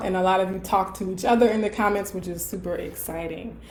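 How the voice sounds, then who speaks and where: A woman is speaking. The room echo is audible. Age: 30s. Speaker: colorism educator and professor. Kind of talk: live Q&A. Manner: casual, filler-heavy.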